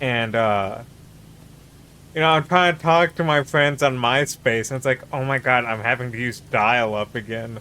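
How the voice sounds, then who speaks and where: A normal speaking voice from a man, medium in pitch, at a moderate pace with ordinary pitch variation. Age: 30s. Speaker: streamer. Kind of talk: casual chat.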